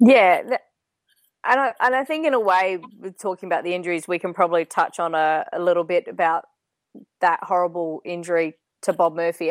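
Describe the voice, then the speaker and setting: A woman in an Australian accent, medium in pitch with ordinary pitch variation and a moderate pace, on a very clean, dry, close recording with no echo and a silent background. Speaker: podcast panelist. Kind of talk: casual chat about sport.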